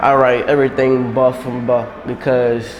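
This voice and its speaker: A man speaks in a monotone, flat delivery with an American accent. Noticeable background noise and audible room echo are present. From New Orleans, Louisiana. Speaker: rapper. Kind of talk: interview. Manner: casual.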